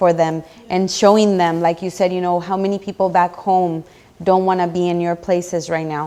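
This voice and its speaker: The speaker, with a non-native accent, has a dark, mellow tone and a monotone, flat intonation at a moderate pace. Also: woman. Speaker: TV show host. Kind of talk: casual interview chat.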